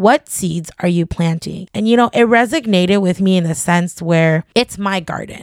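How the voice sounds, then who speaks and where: A woman with a normal speaking voice talks at a moderate pace and medium pitch, with ordinary pitch variation. She hardly pauses, and the sound is dry and close with no echo. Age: 30s. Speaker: podcast host. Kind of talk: solo monologue podcast.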